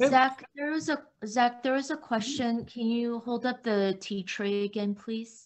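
A woman talks at a fairly slow pace in a normal speaking voice. Her pitch is fairly high, with ordinary variation. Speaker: event moderator. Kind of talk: moderating Q&A. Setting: video call. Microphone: video call.

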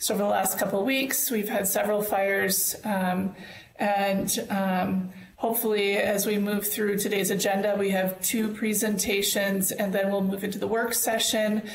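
A woman talks at a moderate pace in monotone, flat intonation with very even loudness. Audible room echo and light background noise are present. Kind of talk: meeting opening remarks. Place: home room. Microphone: earbuds.

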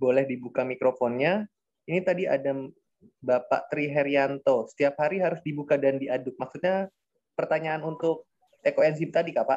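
Against a quiet background, a man with a fairly high pitch speaks at a moderate pace with fairly even intonation. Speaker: discussion moderator. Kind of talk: moderated webinar. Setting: video call. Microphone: video call.

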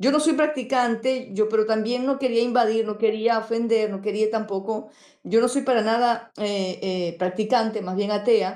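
Very clean and recorded against a silent background, a woman's fairly high voice carries a dark, mellow tone. She keeps a moderate pace with hardly any pauses and fairly even intonation. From Venezuela. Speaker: YouTuber. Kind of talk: panel discussion.

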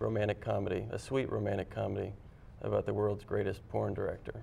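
A man speaks with an American accent. Light background noise can be heard. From Washington State, US. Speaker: film writer-director; guest. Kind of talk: TV interview. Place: studio.

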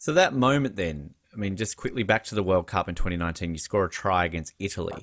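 Over a quiet background, a man with a fairly low pitch speaks with an Australian accent. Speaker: podcast host. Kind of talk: interview. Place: home room. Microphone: studio mic.

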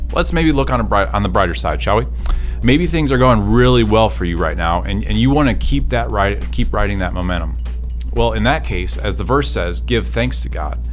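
With a very deep, low pitch, a man talks at a moderate pace as faint music sounds in the background. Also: fairly even intonation. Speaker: speaker. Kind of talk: devotional talk to camera. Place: studio. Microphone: studio mic.

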